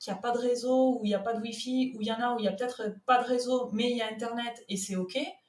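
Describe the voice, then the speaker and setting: In a southern French accent, a woman speaks fairly quickly. Her pitch is high and her intonation fairly even. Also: hardly any pauses. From southern France, Toulouse. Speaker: content manager. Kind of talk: podcast interview.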